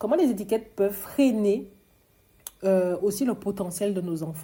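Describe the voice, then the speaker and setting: A woman with an Antillean accent, somewhat breathy, with a dark, mellow tone. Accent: Antillean accent, drops R sounds. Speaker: podcast host, early childhood educator. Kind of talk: podcast monologue, personal story. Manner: stammering, halting.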